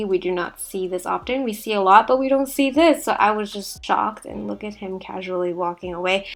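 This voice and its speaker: The woman's pitch is medium, with ordinary variation. She talks at a fairly quick pace with hardly any pauses and big swings in loudness. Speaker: travel vlogger. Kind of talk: casual travel vlog voiceover. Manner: a little sarcastic.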